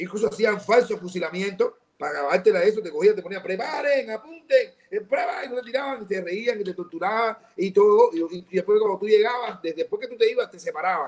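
Delivered at a fairly quick pace, the speech has lively intonation and big swings in loudness. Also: man, high pitch for a man, hardly any pauses. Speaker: actor in a film about political prisoners. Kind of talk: casual interview discussion. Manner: animated, emphatic.

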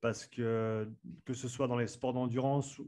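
This man has a plain, everyday voice and speaks at a fairly slow pace with fairly even intonation. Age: 30s. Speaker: strength and conditioning coach. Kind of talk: interview. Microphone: good podcast microphone.

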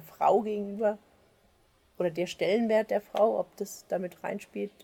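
A woman is speaking. Her tone is dark and mellow. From Germany, Frankfurt am Main. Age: 40s. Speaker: farmer. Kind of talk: interview. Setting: on the farm. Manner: halting, many fillers.

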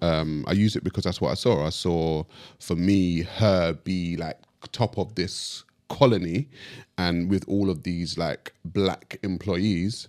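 Very slow and very deep, a man speaks at a low pitch with ordinary pitch variation. The recording is very clean, with a silent background. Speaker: podcast guest and commentator. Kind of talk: casual conversation.

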